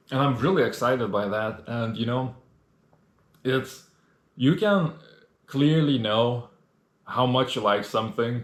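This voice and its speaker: A man speaks at a medium pitch. His pace is fairly slow, with ordinary pitch variation. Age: 20s. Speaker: solo podcast host and video creator. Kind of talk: casual monologue. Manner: halting, many fillers.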